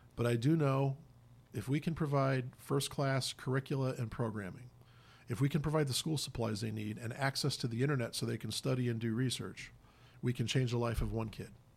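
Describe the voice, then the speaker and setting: A man with an American accent talks at a fairly quick pace, somewhat breathy. The recording is very clean with a silent background. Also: medium pitch for a man, fairly even intonation. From Indiana (Hammond, Chicago area). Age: 50s. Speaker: nonprofit executive, former priest. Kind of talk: radio interview. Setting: radio studio.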